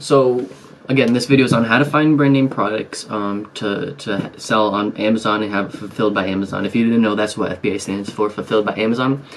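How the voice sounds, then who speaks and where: A man talks very fast in a fairly low pitch, with hardly any pauses and ordinary pitch variation. Noticeable background noise sits behind him. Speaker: online seller and business YouTuber. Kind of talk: tutorial. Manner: soft-spoken, talking low to stay quiet; casual with many fillers.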